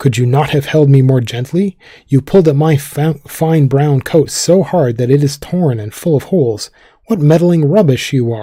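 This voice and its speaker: A man speaks in a put-on character voice at a moderate pace. His pitch is fairly high and shrill. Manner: angry, scolding.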